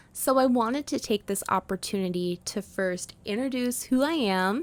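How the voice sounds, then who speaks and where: In an unremarkable speaking voice with lively intonation, the speaker goes at a moderate pace, recorded dry and close with no echo on a very clean recording with a silent background. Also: woman, fairly high pitch for a woman. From Canada, Prince Edward Island. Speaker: podcast host. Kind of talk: podcast monologue.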